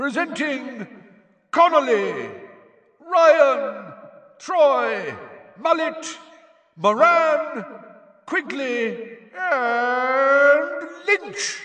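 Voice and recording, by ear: A man's put-on character voice, extremely high in pitch, bright and sharp in tone, with lively intonation at a very slow pace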